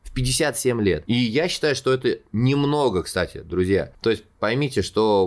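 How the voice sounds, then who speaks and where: A man with an animated tone and lively intonation at a fairly slow pace, on a very clean recording with a silent background. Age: 30s. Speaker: podcast host, showman and actor. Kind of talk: solo storytelling monologue.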